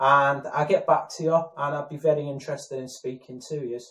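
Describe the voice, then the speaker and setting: A man with a northern English accent and fairly even intonation. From northern England, Warrington. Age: 30s. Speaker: aspiring actor. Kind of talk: self-introduction video. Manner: halting, many fillers.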